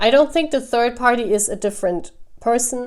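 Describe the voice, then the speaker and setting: With a German accent, a woman talks using ordinary pitch variation. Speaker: tarot reader. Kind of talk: tarot reading. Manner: halting.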